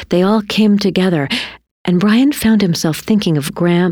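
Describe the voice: Plain reading aloud, ordinary pitch variation, and a quiet background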